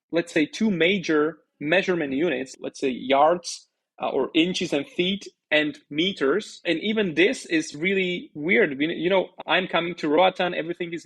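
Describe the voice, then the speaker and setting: Here a man speaks with a Slovak accent. His pitch is high. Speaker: bitcoin educator, startup founder. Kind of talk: podcast interview.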